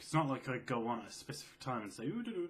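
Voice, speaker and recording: A quiet, medium-pitched man with vocal fry and very wide pitch swings. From England. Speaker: gaming video creator. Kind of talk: casual Q&A vlog. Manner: soft-spoken.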